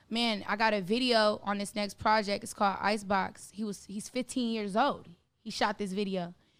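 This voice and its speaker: An animated woman at a medium pitch with an American accent and a moderate pace. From California, Bay Area. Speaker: singer and rapper. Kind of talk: podcast interview. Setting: studio.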